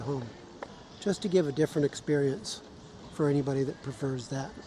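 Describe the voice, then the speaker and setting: The speaker has an American accent and a relaxed tone, with noticeable background noise. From Southern California. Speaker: vlogger filming a wheelchair scooter ride. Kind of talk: casual narration to camera. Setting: outdoors on a beach path. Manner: relaxed, with pauses.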